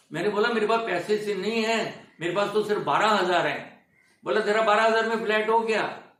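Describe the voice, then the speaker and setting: This man's voice is high in pitch, with very even loudness and fairly even intonation. Audible room echo is present. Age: 80s+. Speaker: film industry veteran. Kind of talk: interview, life story.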